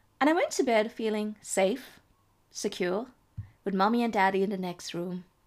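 Ordinary pitch variation and a moderate pace mark an unremarkable speaking voice. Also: woman. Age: 30s. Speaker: podcast host. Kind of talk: personal storytelling monologue.

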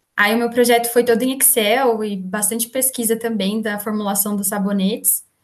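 Here a woman talks. There is a somewhat breathy quality to her voice. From Brazil, interior of São Paulo state (Valinhos). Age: 20s. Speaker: engineering student and digital marketer. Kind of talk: casual interview.

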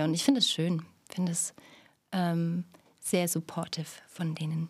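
A woman speaks in a fairly low pitch with monotone, flat intonation. The recording is very clean, with a silent background. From Thuringia, Stadtroda. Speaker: actress and theatre educator. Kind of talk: casual chat.

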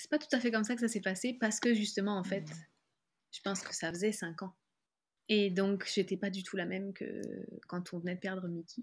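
A woman with a southern French accent speaks at a fairly quick pace, her voice somewhat breathy and medium in pitch. Her pitch varies in an ordinary way, her loudness swings widely, and she leaves long, frequent pauses. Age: 30s. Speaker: author and graphic designer. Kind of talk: personal testimony interview. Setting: video call.

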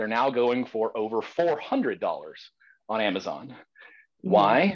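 A man with a Southern US accent speaks at a fairly slow pace in a medium pitch with ordinary pitch variation against a quiet background. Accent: Southern American. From US South, Georgia. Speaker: defense attorney. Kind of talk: debate.

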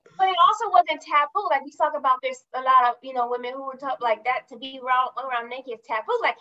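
In a raised, projected voice, a woman with an American accent speaks with a bright, sharp tone and very wide pitch swings, in a dry, close sound with no echo. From California. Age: 40s. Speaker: executive assistant and entrepreneur. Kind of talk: casual interview.

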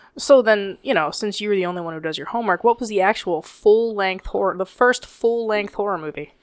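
Using a plain, everyday voice, a woman speaks at a medium pitch over a quiet background. She talks at a fairly quick pace with hardly any pauses. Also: ordinary pitch variation. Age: 30s. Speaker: podcast co-host. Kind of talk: casual chat.

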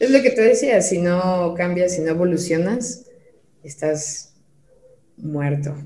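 Very slow delivery with long, frequent pauses, lively intonation, and noticeable background noise. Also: woman, fairly low pitch for a woman. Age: 30s. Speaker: digital marketing specialist. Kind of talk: casual interview chat.

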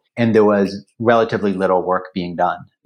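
This is an unremarkable speaking voice from a man, fairly low in pitch. His pitch variation is ordinary, and the background is quiet. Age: 40s. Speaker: venture capital investor. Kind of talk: interview.

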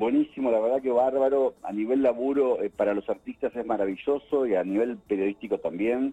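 A man speaks at a fairly quick pace with hardly any pauses, his dark, mellow tone showing ordinary pitch variation in a dry, close sound with no echo. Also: medium pitch for a man. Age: 60s. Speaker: entertainment journalist and film critic. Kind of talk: casual interview. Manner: halting with many fillers and repetitions.

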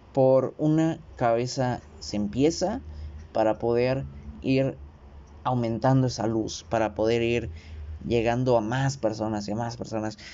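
Lively intonation at a fairly slow pace, with long, frequent pauses. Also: man, medium pitch for a man. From Mexico. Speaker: podcaster. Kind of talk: monologue. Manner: animated.

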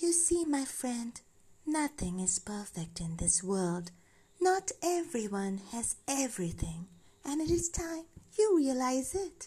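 A female-sounding put-on character voice sits high in pitch with very wide pitch swings. It moves at a fairly slow pace. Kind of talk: bedtime story. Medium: read story. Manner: calm, gentle, patient.

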